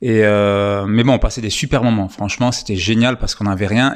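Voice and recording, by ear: The man's speech shows ordinary pitch variation.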